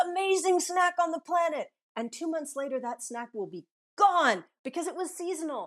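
At a fairly quick pace, a woman is speaking. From Southern California. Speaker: author and climber. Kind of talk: interview.

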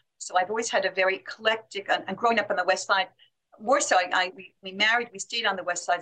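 A woman talks very fast at a medium pitch. Her tone is bright and sharp, and her pitch variation is ordinary. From Manhattan, New York. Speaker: writer and organization co-founder. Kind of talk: casual interview.

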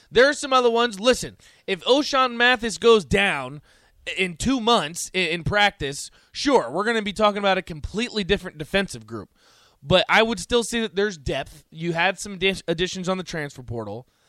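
On a very clean recording with a silent background, a man projects a raised, high-pitched voice with a bright, sharp tone and lively intonation at a moderate pace. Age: 20s. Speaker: sports radio host. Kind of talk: casual sports talk radio. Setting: radio studio.

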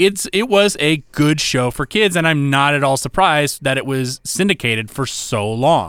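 A man with an unremarkable speaking voice talks at a moderate pace in a fairly high pitch, with lively intonation, hardly any pauses and a very clean recording with a silent background. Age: 40s. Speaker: podcast co-host. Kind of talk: casual chat.

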